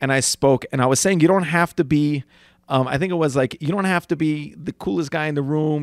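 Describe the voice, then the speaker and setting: A man talks in a normal speaking voice at a fairly high pitch with ordinary pitch variation. The sound is dry and close, with no echo. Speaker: podcast co-host, addiction counselor. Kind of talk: casual banter.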